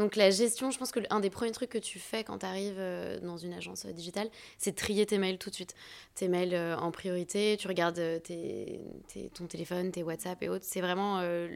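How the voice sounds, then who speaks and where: A woman talks in an ordinary speaking voice, keeping a medium pitch, fairly even intonation and a moderate pace. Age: 30s. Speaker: agency co-founder and talent manager. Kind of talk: casual interview.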